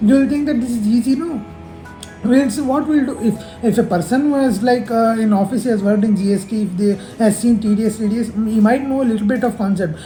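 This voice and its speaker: Speech comes at a very fast pace in a slight South Indian accent. Music plays in the background. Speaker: chartered accountancy student. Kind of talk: casual tutorial. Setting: office. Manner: halting.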